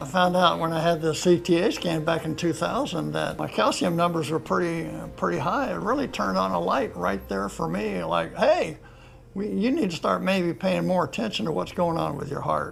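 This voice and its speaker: A man speaks at a moderate speed while background noise is clearly noticeable. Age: 70s. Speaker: retired airline captain and pilot. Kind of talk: interview answer.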